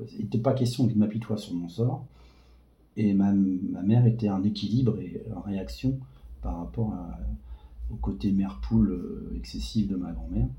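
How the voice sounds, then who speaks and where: A man with a fairly low pitch and a dark, mellow tone speaks at a fairly slow pace with vocal fry and lively intonation, leaving long, frequent pauses amid audible room echo. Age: 40s. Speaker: patient with a rare disease. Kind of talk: testimony. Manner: halting.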